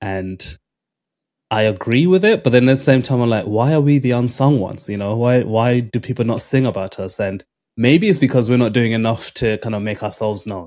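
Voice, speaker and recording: Over a very clean recording with a silent background, a man speaks at a fairly quick pace in an ordinary speaking voice with ordinary pitch variation. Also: medium pitch for a man. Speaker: podcast host. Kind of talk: interview conversation.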